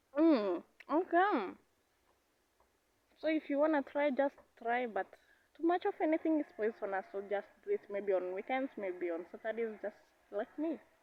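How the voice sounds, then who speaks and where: The pitch swings very widely, broken up by long, frequent pauses. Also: woman, high pitch for a woman, moderate pace. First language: Kenyan native language. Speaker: vlogger. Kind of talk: casual vlog talk. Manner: halting, searching for words.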